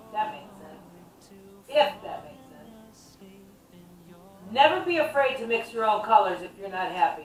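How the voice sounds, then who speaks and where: A woman's fairly slow speech with long, frequent pauses, very wide pitch swings and big swings in loudness, plus audible room echo and noticeable background noise. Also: fairly high pitch for a woman. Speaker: DIY home renovation vlogger. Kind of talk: casual tutorial vlog. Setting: at home in her kitchen.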